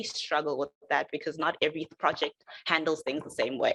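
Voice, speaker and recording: The tone is bright and sharp. It belongs to a woman. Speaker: software developer. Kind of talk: presentation. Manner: fast.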